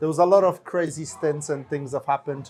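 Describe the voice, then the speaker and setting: The speaker's intonation stays fairly even. Music plays in the background. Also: man. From Poland. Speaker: local pub-goer. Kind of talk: casual chat.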